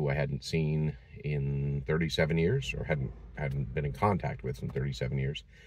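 Very deep, low-pitched male speech with an American accent, fairly even intonation and a moderate pace, dry with no echo, over light background noise. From Massachusetts. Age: 50s. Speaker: vlogger. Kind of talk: personal vlog. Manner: halting, many fillers. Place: car. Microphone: phone near.

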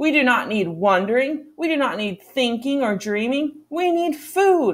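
A female-sounding voice shouts in a gruff, high-pitched, put-on character voice. The pace is moderate. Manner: gruff, shouting, dismissive.

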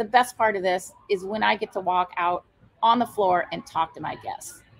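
A woman talks at a moderate pace. She has an American accent. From Iowa. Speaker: brewery owner; interview guest. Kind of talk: interview. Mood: warm, enthusiastic.

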